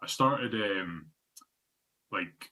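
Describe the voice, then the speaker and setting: A man speaks in a northeast Scottish accent with a very deep, low pitch. His tone is bright and sharp, his intonation fairly even. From northeast Scotland (Fraserburgh). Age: 30s. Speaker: obesity advocate. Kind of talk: presentation. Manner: halting, many fillers.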